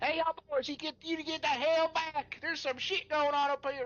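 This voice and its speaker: A high-pitched, put-on character voice at a fairly quick pace. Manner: commanding, crude.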